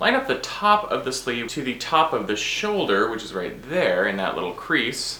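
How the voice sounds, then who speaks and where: Against noticeable background noise and audible room echo, a man is speaking. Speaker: sewing and fashion vlogger. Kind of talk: tutorial. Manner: playful, jokey.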